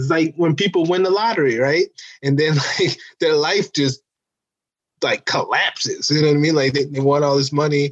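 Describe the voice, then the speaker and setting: In a normal speaking voice, a man talks at a moderate pace with a fairly high pitch, ordinary pitch variation and very even loudness, the sound dry and close with no echo. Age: 30s. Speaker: stand-up comedian and musician. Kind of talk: casual interview chat.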